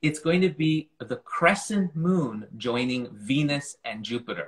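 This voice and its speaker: A man with a Canadian accent speaks in a fairly high, somewhat breathy voice. His intonation is lively. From Montreal, Canada. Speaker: astronomy communicator. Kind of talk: casual chat.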